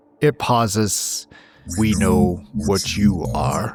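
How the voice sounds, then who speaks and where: In a put-on character voice, a man talks at a very slow pace with a fairly low pitch. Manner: menacing, ominous.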